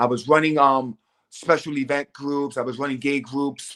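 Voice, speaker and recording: A man with an American accent and a fairly high voice speaks at a moderate pace with fairly even intonation, in a normal speaking voice. The sound is dry and close, with no echo. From New York City, Lower East Side. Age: 40s. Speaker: HIV social services worker. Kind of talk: interview. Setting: live stream.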